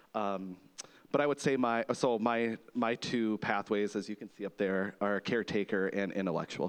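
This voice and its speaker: With fairly even intonation at a moderate pace, a man speaks in an ordinary speaking voice at a fairly low pitch. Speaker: nurse. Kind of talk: testimony.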